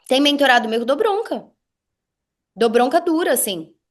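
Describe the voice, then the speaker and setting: A high-pitched, animated woman's voice with very wide pitch swings over a quiet background. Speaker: business mentor. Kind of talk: casual chat. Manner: fast.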